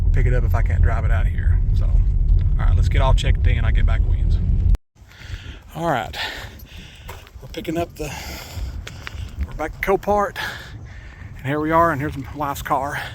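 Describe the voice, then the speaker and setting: In a Tennessee accent, a man speaks at a moderate pace with long, frequent pauses, amid noticeable background noise and audible room echo. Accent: Southern US (Tennessee area). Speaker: YouTube vlogger, motorhome project buyer. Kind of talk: casual vlog narration. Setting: outdoors, parking lot; in a car. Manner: casual, halting with fillers.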